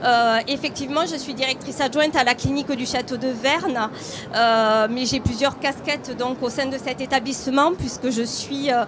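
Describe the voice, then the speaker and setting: With a southern French accent, a woman speaks at a moderate pace and high pitch with fairly even intonation over noticeable background noise. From southern France. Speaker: hospital deputy director. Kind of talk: conference presentation.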